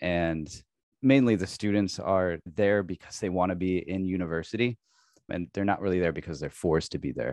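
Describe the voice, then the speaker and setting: A man's very deep, low voice with a Midwestern American accent, at a fairly quick pace with ordinary pitch variation, in a dry, close sound with no echo against a quiet background. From US Midwest, Illinois. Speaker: university English teacher and real estate investor. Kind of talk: interview conversation.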